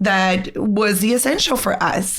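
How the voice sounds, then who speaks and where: A woman speaks at a very slow pace with a strong Brazilian accent, with audible room echo. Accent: thick Brazilian Portuguese. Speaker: homeschool blogger. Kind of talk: casual interview chat. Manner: halting.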